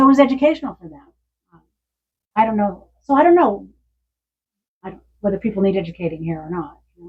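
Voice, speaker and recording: With an American accent, a woman talks at a very fast pace, her medium pitch swinging very widely and her loudness rising and falling sharply. Her voice is somewhat breathy, broken by long, frequent pauses. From Pasadena, California. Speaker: author and psychologist. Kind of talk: Q&A at book event. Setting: bookstore with audience.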